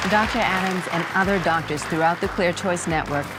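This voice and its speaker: With music in the background, a woman speaks in a warm tone at a fairly low pitch, using ordinary pitch variation. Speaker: TV host. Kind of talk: infomercial host interview in front of studio audience.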